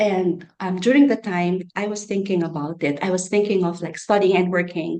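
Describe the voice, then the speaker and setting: Ordinary pitch variation accompanies a dark, mellow tone. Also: woman. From Philippines. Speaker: international student. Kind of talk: interview. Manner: halting.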